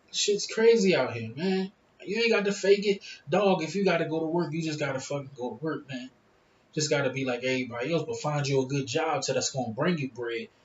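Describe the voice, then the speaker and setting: Against noticeable background noise, a man talks at a fairly quick pace with a fairly high pitch and lively intonation. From Philadelphia, US. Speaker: YouTuber. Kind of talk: casual vlog monologue. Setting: smoking hookah at home.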